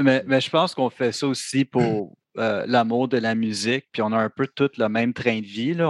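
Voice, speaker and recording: A man with a plain, everyday voice at medium pitch, at a fairly slow pace, against a quiet background. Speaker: metal band musician. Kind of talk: casual chat.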